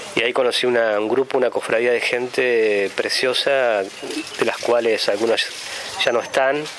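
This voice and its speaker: Very slow speech at a very even loudness, over noticeable background noise. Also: man. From Argentina, La Pampa (Santa Rosa). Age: 40s. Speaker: sculptor. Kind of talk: interview testimony. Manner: hesitant, many fillers and repetitions.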